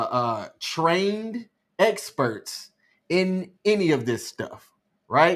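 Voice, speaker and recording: The recording is very clean, with a silent background. A man with an Alabama accent speaks at a very slow pace, his pitch swinging very widely. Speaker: live stream co-host. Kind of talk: casual chat. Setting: live stream.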